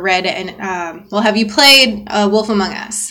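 Noticeable background noise under a woman speaking at a medium pitch, her intonation fairly even. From US South, Georgia. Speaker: podcast co-host. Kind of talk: casual chat.

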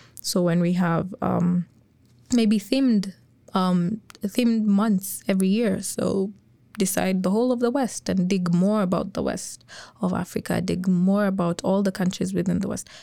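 Speaking at a moderate pace, a woman uses a medium-pitched, dark, mellow voice with fairly even intonation. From Kenya. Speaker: college student. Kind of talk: panel discussion.

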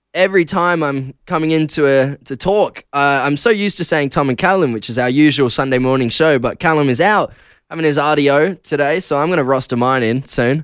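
A man with an Australian accent speaks at a fairly quick pace and a fairly high pitch, with ordinary pitch variation. The recording is very clean, with a silent background. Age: 20s. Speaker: radio host. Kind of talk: casual breakfast radio DJ patter, solo host chatting with listeners. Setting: radio studio. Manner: loose, giggly and self-deprecating, frequent laughs and filler ums; chatty, rambling with restarts and stumbles.

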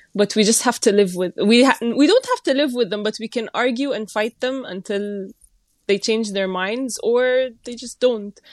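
A woman with an Egyptian accent speaks at a moderate pace in a fairly high voice. Her pitch varies in an ordinary way, and the sound is dry and close with no echo. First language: Arabic. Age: 20s. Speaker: gender rights researcher. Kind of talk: casual discussion.

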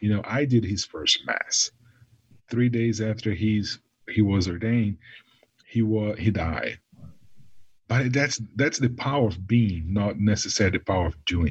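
Fairly slow and somewhat breathy, a man speaks at a fairly low pitch with ordinary pitch variation and long, frequent pauses. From Brazil. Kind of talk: casual chat.

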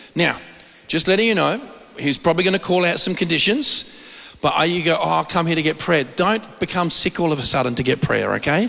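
With very even loudness, a man talks at a moderate pace and a high pitch with ordinary pitch variation. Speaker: preacher. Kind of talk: sermon. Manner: informal, storytelling.

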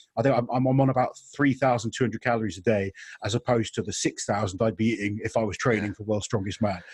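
At a fairly quick clip, a man speaks with a somewhat breathy sound. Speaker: podcast host. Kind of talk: casual chat.

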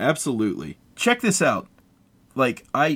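With an American accent and vocal fry, a man speaks at a fairly slow pace. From US, West Virginia. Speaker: podcast co-host. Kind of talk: casual chat.

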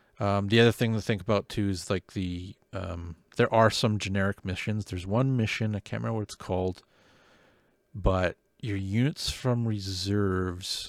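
In a Canadian accent, a man with a normal speaking voice talks at a moderate pace, fairly low in pitch and with fairly even intonation. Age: 40s. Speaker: podcast host, wargaming hobbyist. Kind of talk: casual chat. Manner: laughs often.

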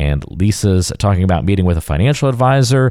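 A man with a very deep, low pitch and a dark, mellow tone, fairly quick in pace. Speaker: podcast co-host.

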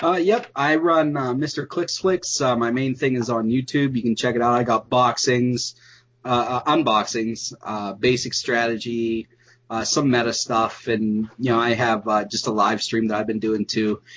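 A man talks at a fairly slow pace, his pitch rising and falling in an ordinary way. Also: medium pitch for a man. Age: 20s. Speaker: YouTube content creator. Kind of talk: casual chat. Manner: hesitant, many fillers.

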